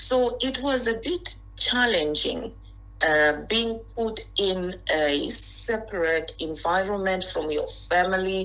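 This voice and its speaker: A woman with a Zimbabwean accent speaks at a very slow pace. The recording has audible room echo and noticeable background noise. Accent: Zimbabwean accent, still noticeable. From Zimbabwe (Harare). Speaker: interview guest. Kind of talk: interview.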